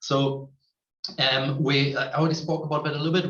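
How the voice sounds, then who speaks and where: A man speaks with a German accent. His pace is fairly quick. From Germany. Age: 30s. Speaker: tech company representative. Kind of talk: online presentation.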